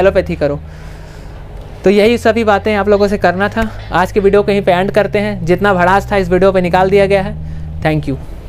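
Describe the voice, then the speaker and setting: A man speaks at a moderate pace with fairly even intonation while music plays in the background. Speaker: vlogger on medical careers. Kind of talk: opinion vlog rant. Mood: frustrated, venting. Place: street. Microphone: lapel.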